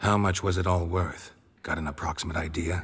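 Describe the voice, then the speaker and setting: A man's put-on character voice, very deep and raspy, with monotone, flat intonation, a deadpan tone, and a fairly quick pace. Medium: video game. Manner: terse, deadpan.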